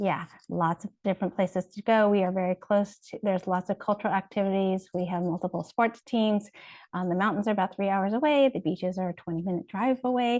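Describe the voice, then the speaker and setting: A woman talks at a fairly quick pace in a medium pitch with ordinary pitch variation. The sound is dry and close with no echo, over a quiet background. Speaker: pediatric residency program representative. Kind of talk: informational presentation. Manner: fast.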